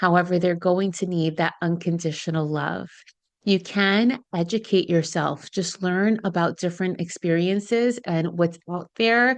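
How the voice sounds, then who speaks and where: A woman's fairly low voice, a normal speaking voice, fairly slow pace, ordinary pitch variation, and a quiet background. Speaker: licensed therapist, podcast host. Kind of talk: podcast advice talk. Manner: warm, earnest.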